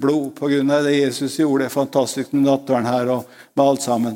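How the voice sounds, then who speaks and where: A fairly high male voice at a moderate pace on a very clean recording with a silent background. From Norway, Østfold (Råde). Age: 80s+. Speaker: preacher. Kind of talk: sermon. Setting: church.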